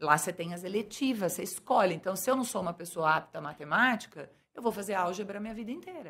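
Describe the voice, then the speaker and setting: At a very fast pace, a woman talks with lively intonation at a medium pitch. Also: hardly any pauses. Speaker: businesswoman and bilingual school owner. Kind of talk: interview.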